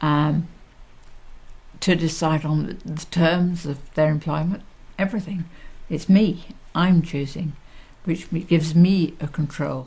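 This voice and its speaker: A woman with a fairly low pitch and a dark, mellow, somewhat breathy tone speaks fairly slowly, with fairly even intonation and long, frequent pauses. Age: 60s. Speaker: social care service user with MS. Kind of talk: interview testimony.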